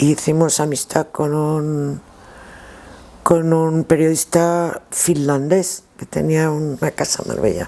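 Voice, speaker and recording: Very slow and monotone, a woman speaks at a very deep, low pitch with flat intonation. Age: 60s. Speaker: former rally driver and co-driver. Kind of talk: interview, reminiscing. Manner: halting, with repetitions.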